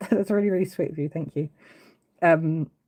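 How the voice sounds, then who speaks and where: The voice has a dark, mellow tone and an English accent. It moves at a moderate pace with ordinary pitch variation. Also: woman. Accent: English accent, noticeable. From England, Brighton, East Sussex. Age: 40s. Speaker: woodcarving livestreamer. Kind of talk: casual livestream chat. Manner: hesitant, many fillers and restarts.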